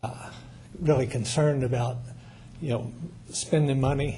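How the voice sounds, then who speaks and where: An American accent marks this man's medium-pitched voice, which has fairly even intonation. He talks at a fairly slow pace amid audible room echo. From US Midwest, Missouri. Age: 70s. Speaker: public commenter, retired truck driver. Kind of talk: public comment at council meeting. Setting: city council meeting. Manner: halting, many fillers.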